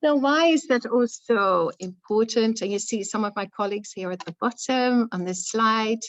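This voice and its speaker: A woman talks with hardly any pauses. She has a non-native accent. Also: fairly high pitch for a woman, ordinary pitch variation, moderate pace. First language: not English. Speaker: academic author, education researcher. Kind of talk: book launch talk. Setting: event with live and online audience. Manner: hesitant, many fillers.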